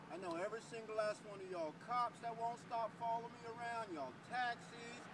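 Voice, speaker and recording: A loud man speaks at a fairly quick pace with an extremely high pitch. His pitch varies in an ordinary way, and there is noticeable background noise. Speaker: homeless man. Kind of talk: ranting. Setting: outdoors by a taxi, on a bike.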